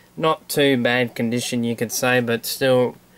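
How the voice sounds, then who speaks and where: Through noticeable background noise, a man with an Australian accent speaks at a medium pitch in a monotone, flat intonation. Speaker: toy collector video host. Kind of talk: casual show-and-tell vlog.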